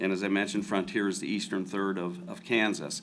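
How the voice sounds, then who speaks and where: A man with a slight Southern accent. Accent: slight southern drawl. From US Midwest, rural Ohio near Cincinnati. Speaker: agricultural lending executive. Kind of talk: panel discussion.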